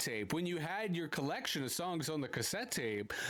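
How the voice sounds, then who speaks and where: Amid audible room echo, a man with a Canadian accent speaks at a moderate pace in a high pitch with very wide pitch swings. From Canada, Toronto. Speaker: podcast host. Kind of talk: interview. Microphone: poor audio quality.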